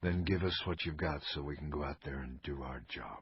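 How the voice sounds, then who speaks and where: A man whispers quietly in a raspy, put-on character voice at a moderate pace. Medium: read story. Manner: quiet, reverent whisper.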